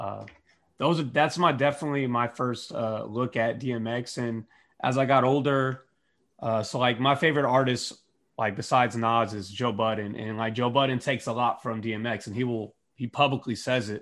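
With an unremarkable speaking voice, a man talks at a moderate pace and medium pitch, his intonation fairly even against a quiet background. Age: 30s. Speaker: podcast guest. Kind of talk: casual chat.

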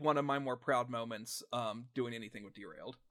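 A man speaks with an American accent. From US South. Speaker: actual-play podcast performer. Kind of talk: casual chat.

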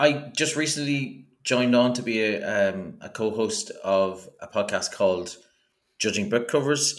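A man speaks at a fairly slow pace with an Irish accent. His intonation is lively, with big swings in loudness. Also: medium pitch for a man. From Ireland. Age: 40s. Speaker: podcaster. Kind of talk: casual chat.

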